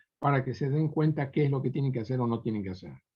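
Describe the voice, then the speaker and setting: A man is speaking. His voice has a somewhat breathy quality. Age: 70s. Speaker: preacher. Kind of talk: sermon.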